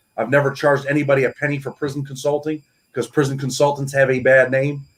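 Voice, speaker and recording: A man's somewhat breathy voice with an American accent at a very fast pace. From New York. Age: 40s. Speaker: author and former federal prisoner. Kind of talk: interview on a live show.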